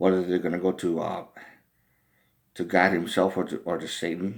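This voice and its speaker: A man talks at a moderate pace with a very deep, low pitch. The recording is very clean, with a silent background. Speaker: vlogger. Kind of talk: personal monologue. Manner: halting, repetitive.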